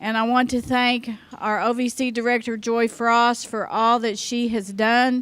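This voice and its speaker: A woman with a fairly high voice speaks at a fairly slow pace with monotone, flat intonation. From Oklahoma. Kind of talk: conference keynote speech. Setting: conference luncheon with audience.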